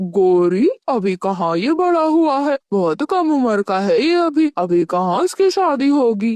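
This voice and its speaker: A cartoonish character voice, female-sounding and fairly high in pitch, with very wide pitch swings. It moves at a fairly slow pace with hardly any pauses. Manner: blunt, gruff.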